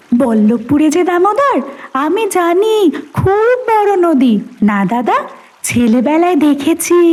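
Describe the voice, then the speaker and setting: Doing a put-on character voice, a woman speaks at an extremely high pitch with very wide pitch swings but very even loudness. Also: fairly slow pace. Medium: audio drama. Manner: calm, natural.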